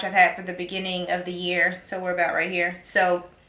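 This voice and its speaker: A woman with a medium pitch is heard over noticeable background noise. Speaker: beauty vlogger. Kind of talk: tutorial.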